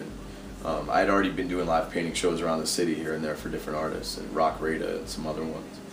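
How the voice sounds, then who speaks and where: With an American accent, a man talks at a very fast pace in a very deep, low pitch over noticeable background noise. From US East Coast. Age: 30s. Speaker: tattoo artist and painter. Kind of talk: casual interview.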